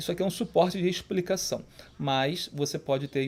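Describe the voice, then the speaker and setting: In a very clean recording with a silent background, a man with a plain, everyday voice speaks at a moderate pace, his fairly high pitch showing ordinary variation. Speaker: Portuguese grammar teacher for exam prep. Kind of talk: tutorial.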